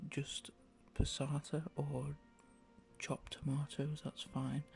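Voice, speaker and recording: Music plays in the background as a man speaks with an English accent. He sounds soft-spoken and relaxed. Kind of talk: ASMR cooking tutorial. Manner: casual, relaxed.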